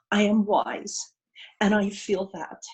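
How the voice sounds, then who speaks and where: A woman speaks at medium pitch. Her voice is somewhat breathy. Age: 60s. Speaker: participant in online women's circle, retired educator. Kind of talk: personal sharing in group video call.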